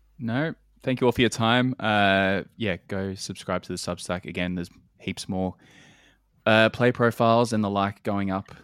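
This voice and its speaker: In a very clean recording with a silent background and a dry, close sound with no echo, a man has an unremarkable speaking voice. He speaks at a moderate pace with a fairly low pitch and fairly even intonation. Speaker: football podcast co-host. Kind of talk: casual chat.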